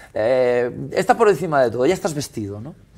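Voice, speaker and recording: A man keeps a moderate pace while faint music sits in the background. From Galicia, Spain (Esteiro, Muros); Galicia, Spain. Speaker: restaurateur and caterer; guest. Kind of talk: casual chat. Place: studio. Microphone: lapel.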